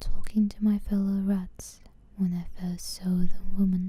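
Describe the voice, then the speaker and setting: A woman's somewhat breathy, medium-pitched voice with a dark, mellow tone, monotone, flat intonation and a very slow pace. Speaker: ASMR channel host. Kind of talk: ASMR book reading.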